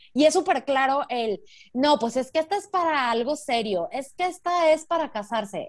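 Lively intonation at a moderate pace, on a very clean recording with a silent background. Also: woman. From Mexico. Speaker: podcast co-host. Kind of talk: casual chat.

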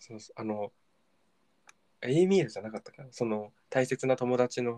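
The sound is dry and close, with no echo. A man's speech moves at a moderate pace. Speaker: podcast co-host. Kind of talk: casual chat.

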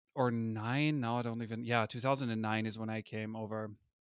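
With an Austrian accent, a man talks at medium pitch and a moderate pace with fairly even intonation, in a dry, close sound with no echo on a very clean recording with a silent background. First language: German. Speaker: user interface designer. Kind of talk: interview. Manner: hesitant, many fillers.

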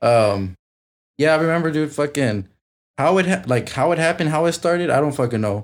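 Over a silent background in a very clean recording, a man speaks with an ordinary speaking voice pitched fairly high. His pace is fairly quick and his intonation lively. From south side of a US city. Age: 20s. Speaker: young parent. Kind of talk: casual chat.

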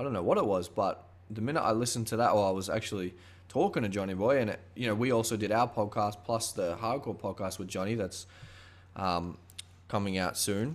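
A man with an Australian accent talks at a fairly quick pace. His voice is fairly low, with ordinary pitch variation. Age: 20s. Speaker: podcast host. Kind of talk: casual chat.

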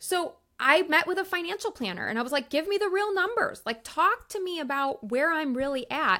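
A woman speaks in a raised, projected voice at an extremely high pitch, bright and sharp in tone. Her delivery is animated and fairly quick, with very wide pitch swings and hardly any pauses. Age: 40s. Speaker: author and life coach. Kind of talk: interview conversation.

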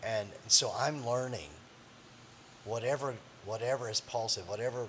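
A man talks at a moderate pace with a medium pitch and ordinary pitch variation, and noticeable background noise can be heard. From Missouri Ozarks. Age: 50s. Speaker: pastor. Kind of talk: interview.

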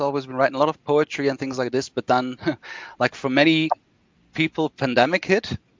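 Talking at a very fast pace, a man speaks at medium pitch. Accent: Flemish. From Belgium, Brussels. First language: Flemish Dutch. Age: 30s. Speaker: novelist. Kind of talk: casual chat.

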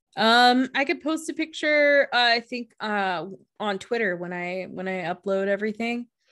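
A woman's fairly high voice with a bright, sharp tone, lively intonation and a moderate pace. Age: 30s. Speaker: podcast co-host. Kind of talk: casual chat. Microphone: new blue microphone.

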